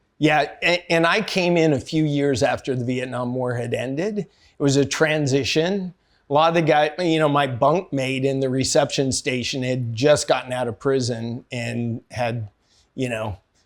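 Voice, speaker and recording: A man with an American accent at a fairly high pitch, ordinary pitch variation, and a moderate pace. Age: 60s. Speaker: army veteran and entrepreneur. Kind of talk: interview. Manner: casual, hesitant with fillers.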